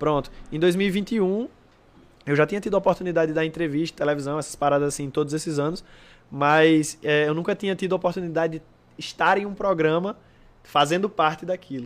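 Speaking at a fairly quick pace, a man uses a fairly high voice with fairly even intonation. The recording is very clean, with a silent background. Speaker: breakdancer. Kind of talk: casual chat. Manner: fast.

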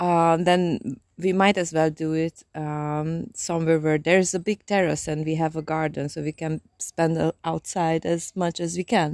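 A woman's fairly low, monotone voice with flat intonation at a moderate pace, in a dry, close sound with no echo on a very clean recording with a silent background. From Transylvania. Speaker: podcast co-host. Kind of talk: casual chat. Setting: outdoors on a terrace.

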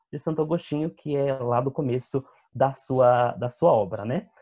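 Somewhat breathy tones mark this man's voice. He keeps to a moderate pace. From Brazil, São Bernardo do Campo (São Paulo ABC region). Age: 20s. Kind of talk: interview. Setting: video call.

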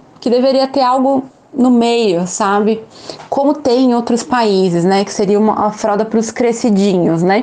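Noticeable background noise sits behind a woman's fairly high voice. She talks at a moderate pace with ordinary pitch variation. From São Paulo, Brazil. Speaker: English teacher and mother of a child with a rare condition. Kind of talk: interview testimony.

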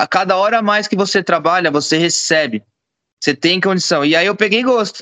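In a very clean recording with a silent background and a dry, close sound with no echo, a man projects a raised, high voice with a bright, sharp tone, very even loudness, ordinary pitch variation and a fairly quick pace. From São Paulo state, Brazil. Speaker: jiu-jitsu gym owner. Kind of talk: casual chat.

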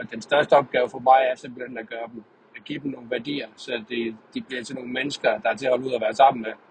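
The speech runs at a very fast pace in a monotone, flat intonation, with big swings in loudness and noticeable background noise. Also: man, medium pitch for a man. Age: 30s. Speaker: podcaster. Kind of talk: monologue. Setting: in a car. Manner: halting. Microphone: poor sound quality.

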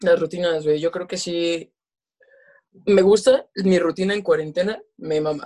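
The speaker has a Mexican accent and talks at a fairly slow pace. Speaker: podcast co-host. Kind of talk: casual chat.

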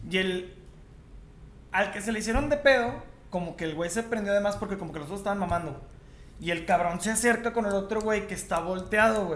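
A man with a high voice and ordinary pitch variation speaks amid audible room echo and noticeable background noise. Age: 30s. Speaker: podcast co-host. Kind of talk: casual chat.

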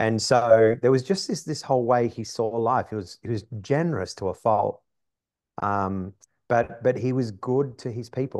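Speaking with an Australian accent, a man talks at a moderate pace and medium pitch with ordinary pitch variation against a quiet background. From Australia, east coast industrial city. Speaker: business coach. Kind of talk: casual interview. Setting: studio.

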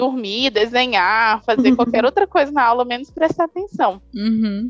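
Her pitch high, a woman speaks at a moderate pace, the sound dry and close with no echo. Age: 20s. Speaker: graphic designer. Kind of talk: casual interview.

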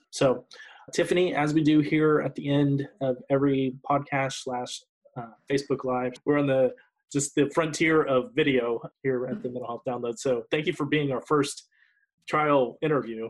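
A man with a normal speaking voice, fairly high in pitch, at a moderate pace with fairly even intonation. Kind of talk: casual interview. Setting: live stream.

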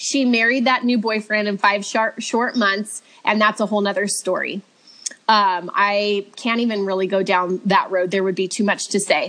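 A woman speaks with a Californian accent in a medium pitch. Her tone is bright and sharp, and her intonation fairly even. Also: moderate pace. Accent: Californian American. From Southern California (Redlands). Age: 30s. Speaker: stay-at-home mom sharing faith testimony. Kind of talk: testimony.

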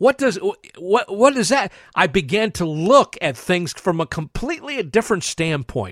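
A man with an American accent speaks in a high pitch at a moderate pace, with very wide pitch swings. The sound is dry and close with no echo, on a very clean recording with a silent background. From western Pennsylvania, US. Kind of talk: religious teaching monologue.

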